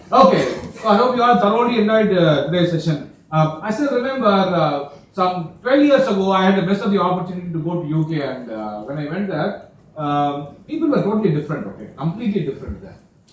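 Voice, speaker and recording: Over noticeable background noise, a man speaks very fast in a high voice. His pitch swings very widely and his loudness varies greatly. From India. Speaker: lecturer. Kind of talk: talk to students.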